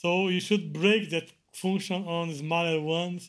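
A man with a Portuguese accent, high-pitched, with ordinary pitch variation, on a very clean recording with a silent background. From Brazil. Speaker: Linux kernel maintainer. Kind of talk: interview.

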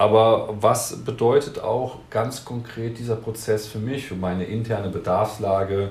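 A man with a slight Rhineland accent and fairly even intonation, barely pausing, amid noticeable background noise and audible room echo. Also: medium pitch for a man, fairly slow pace. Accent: slight Rhineland lilt. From Cologne, Rhineland, Germany. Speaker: compliance data expert, business unit head. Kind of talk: interview. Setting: studio.

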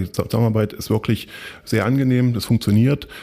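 Speaking at a fairly quick pace, a man with a medium pitch delivers his words in a flat monotone, on a very clean recording with a silent background. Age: 40s. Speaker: freelance project manager. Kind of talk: interview.

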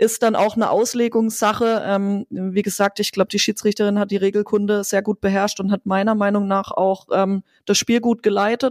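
A woman's medium-pitched, monotone voice at a moderate pace, dry and close with no echo, on a very clean recording with a silent background. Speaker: football co-commentator and former player. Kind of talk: casual chat.

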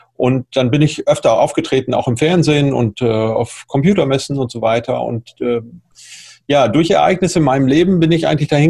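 A man's somewhat breathy voice, dark and mellow in tone, moves along at a fairly quick pace. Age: 50s. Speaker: entrepreneur and public speaker. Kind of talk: interview.

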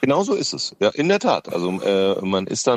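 At a moderate pace, the voice makes very wide pitch swings against noticeable background noise. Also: man. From Lower Franconia, Bavaria (Schöllkrippen, near Aschaffenburg). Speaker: radio host and comedian. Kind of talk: casual interview.

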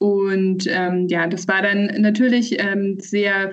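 A woman with a somewhat breathy voice. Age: 30s. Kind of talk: interview.

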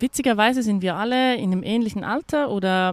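A woman talks, her pitch shifting in an ordinary way. The audio is dry and close, without any echo. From Austria. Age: 30s. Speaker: hotel manager. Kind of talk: interview. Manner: hesitant, many fillers and repetitions.

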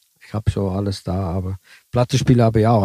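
A man speaks in an Italian accent, his fairly low voice dark, mellow and somewhat breathy, with ordinary pitch variation. The sound is dry and close with no echo. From southern Italy, raised in Switzerland until age 11. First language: Italian (speaking German). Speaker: bus driver. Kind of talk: interview.

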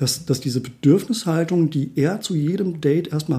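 A man speaks at a fairly slow pace. His voice is dark, mellow and somewhat breathy. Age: 40s. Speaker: life coach. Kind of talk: casual chat.

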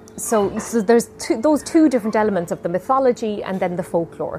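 Over noticeable background noise, a woman with an Irish accent talks at a very fast pace with lively intonation. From Ireland. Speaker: storyteller and singer. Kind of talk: interview.

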